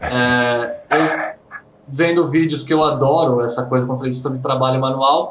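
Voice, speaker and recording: Against noticeable background noise, a man with a Brazilian accent speaks at a fairly high pitch and a fairly slow pace, with fairly even intonation. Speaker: handpoke tattoo artist. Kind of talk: interview.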